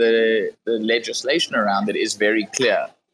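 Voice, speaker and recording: A man speaks at a moderate pace with a South African accent. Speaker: crypto startup founder. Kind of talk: casual chat.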